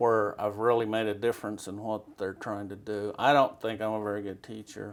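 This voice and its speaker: A man speaks in a West Texas accent with fairly low pitch and monotone, flat intonation. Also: very clean recording, silent background. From Texas Panhandle, Amarillo. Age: 60s. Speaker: western painter. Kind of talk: interview. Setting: artist's studio.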